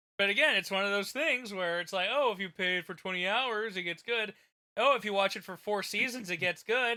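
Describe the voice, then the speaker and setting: A man speaks in a raised, projected voice at a high pitch. His tone is bright and sharp, with ordinary pitch variation. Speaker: streamer. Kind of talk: casual chat. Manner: loud.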